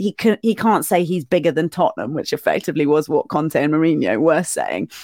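A woman's fairly low voice with vocal fry and lively intonation, at a fairly quick pace with hardly any pauses, in a dry, close sound with no echo. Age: younger than host, not old. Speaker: broadcaster and football fan. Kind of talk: casual chat.

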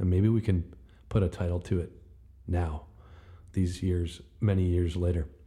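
A man's very deep, low, somewhat breathy voice with a dark, mellow tone. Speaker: podcast host reading own poems. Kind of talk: spoken-word poetry reading of own old rhyming verse. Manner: rhythmic, clipped short rhyming phrases delivered as verse; relaxed, folksy, with frequent uh fillers.

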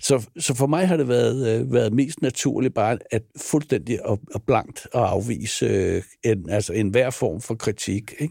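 With hardly any pauses, a man speaks fairly slowly at medium pitch, his dark, mellow tone carrying vocal fry and lively intonation. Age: 60s. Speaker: film producer. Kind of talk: interview. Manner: hesitant, many fillers and repetitions.

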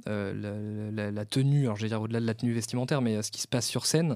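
A man's very fast speech on a very clean recording with a silent background. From France, Vendée. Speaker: podcast host and events company founder. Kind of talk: casual interview.

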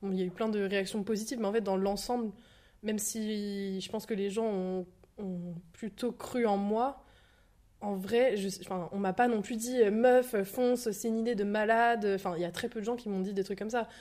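A woman's medium-pitched voice with a dark, mellow tone, fairly even intonation and a moderate pace. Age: 20s. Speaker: shop owner. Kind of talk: casual chat.

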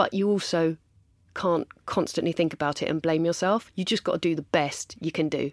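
In an English accent, a woman speaks at a moderate pace in a fairly low voice with fairly even intonation, the sound dry and close with no echo in a very clean recording with a silent background. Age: 40s. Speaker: makeup artist and beauty entrepreneur. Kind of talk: casual interview.

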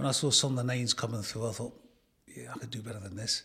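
At a fairly quick pace, a man speaks with a medium pitch and ordinary pitch variation. Vocal fry runs through his voice. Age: 60s. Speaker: retired footballer. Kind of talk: interview.

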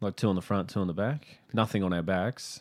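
Pitch moves with ordinary variation. The delivery is fairly quick. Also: man. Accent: Queensland. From Brisbane, Australia. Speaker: comedian. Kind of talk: casual chat.

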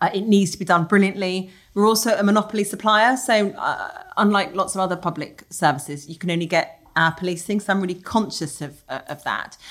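This woman has an unremarkable speaking voice at a medium pitch with ordinary pitch variation. She talks at a fairly quick pace with hardly any pauses. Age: 40s. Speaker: senior police officer. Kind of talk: interview.

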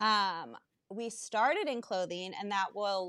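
Fairly slow and medium-pitched, a woman speaks with ordinary pitch variation in a plain, everyday voice, the sound dry and close with no echo. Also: very clean recording, silent background. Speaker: entrepreneur and working mom. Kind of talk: casual chat.

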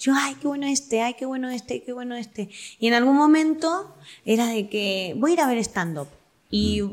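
A woman's lively, high-pitched voice at a moderate pace, on a very clean recording with a silent background. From Argentina, Quilmes. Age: 20s. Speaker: actress, voice-over artist and comedian. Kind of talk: casual interview chat.

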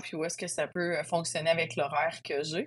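A woman's fairly low voice with a Quebec accent. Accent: Québécois French. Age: 40s. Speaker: trail runner. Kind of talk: interview testimony.

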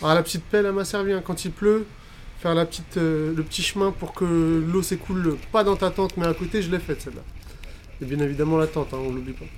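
Speaking at a very fast pace, a man uses a high pitch. The intonation is fairly even. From France, Algerian heritage. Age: 30s. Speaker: filmmaker. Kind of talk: interview.

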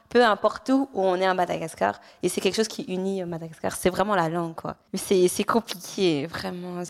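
A woman's normal speaking voice at medium pitch, moderate pace and fairly even intonation. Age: young. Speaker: adoptee sharing her story. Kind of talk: personal testimony in conversation.

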